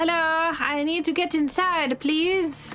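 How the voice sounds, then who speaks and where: A woman's moderate pace carries through noticeable background noise. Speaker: video game streamer. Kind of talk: casual gameplay commentary.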